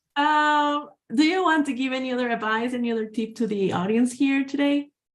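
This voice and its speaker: A woman with a Spanish accent talks at a fairly quick pace in a high voice with ordinary pitch variation. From Guatemala. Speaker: webinar moderator. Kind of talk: webinar Q&A.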